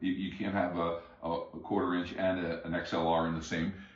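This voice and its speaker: Audible room echo follows a man whose voice sits at a very deep, low pitch. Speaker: music hobbyist reviewing gear. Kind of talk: product review. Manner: halting, many fillers and repeats.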